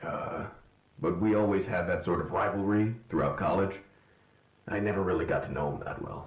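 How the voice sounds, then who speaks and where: A raspy, put-on character voice at a moderate pace, broken by long, frequent pauses. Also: man, fairly low pitch for a man. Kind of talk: audio drama dialogue. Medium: cartoon. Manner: hesitant, stammering.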